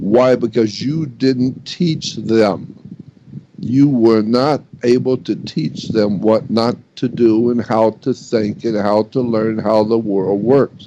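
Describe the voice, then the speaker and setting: A man talks at a very slow pace, his dark, mellow tone at a medium pitch with ordinary pitch variation. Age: 80s+. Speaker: researcher and lecturer on religions and secret societies. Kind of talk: radio interview monologue. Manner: emphatic, repetitive.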